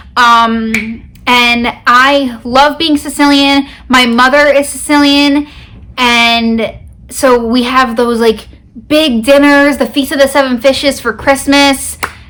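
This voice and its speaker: A woman's high-pitched, very slow voice, monotone and flat in intonation, with very even loudness and noticeable background noise. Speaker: beauty vlogger. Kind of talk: casual chat.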